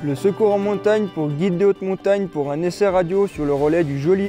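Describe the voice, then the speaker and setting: Music plays in the background as a man talks at a fairly quick pace. His voice is high, with ordinary pitch variation. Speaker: mountain guide. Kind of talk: staged radio distress call. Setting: radio transmission.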